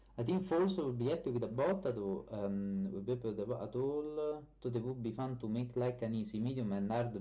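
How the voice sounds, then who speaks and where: A man with a strong Italian accent speaks at medium pitch and a fairly quick pace. His intonation is lively, and the room has an audible echo. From Italy. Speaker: software developer streamer. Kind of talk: live stream chat. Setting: live stream. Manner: hesitant, many fillers.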